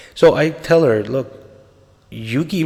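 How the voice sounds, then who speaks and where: A man talks at a moderate pace while noticeable background noise continues. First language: Spanish. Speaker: podcaster on a spiritual journey. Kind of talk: personal storytelling monologue. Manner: casual, conversational.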